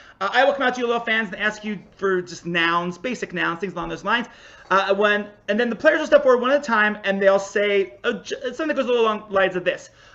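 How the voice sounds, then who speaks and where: The speaker talks at a very fast pace in an animated tone with an American accent. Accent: slight Pennsylvania accent on certain words. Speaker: improv comedy referee. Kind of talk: live improv comedy show hosting. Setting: virtual live stream over video call.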